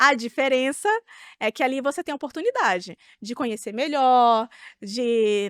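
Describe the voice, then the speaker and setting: A woman's voice on a very clean recording with a silent background, dry and close with no echo. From Brazil. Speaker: actress. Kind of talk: interview answer. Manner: casual.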